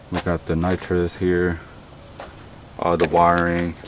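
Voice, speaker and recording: A man speaks at a fairly slow pace in a very deep, low voice. Noticeable background noise runs underneath. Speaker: car builder vlogger. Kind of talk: casual vlog tutorial.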